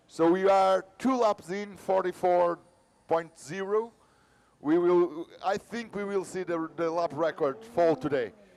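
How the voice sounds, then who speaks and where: A man's high-pitched voice, fairly slow, with ordinary pitch variation and music in the background. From Portugal. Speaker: motorsport commentator. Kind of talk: live commentary.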